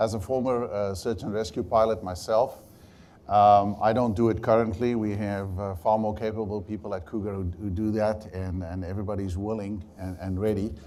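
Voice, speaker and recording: In a dark, mellow tone, a man speaks with fairly even intonation and audible room echo. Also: fairly low pitch for a man, moderate pace. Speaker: helicopter pilot. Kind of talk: testimony at public inquiry. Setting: public inquiry hearing room.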